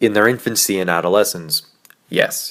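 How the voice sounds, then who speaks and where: This man has an unremarkable speaking voice with a fairly low pitch. He talks at a fairly quick pace with ordinary pitch variation. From Canada, Vancouver BC. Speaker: YouTube commentator. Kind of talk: scripted commentary video.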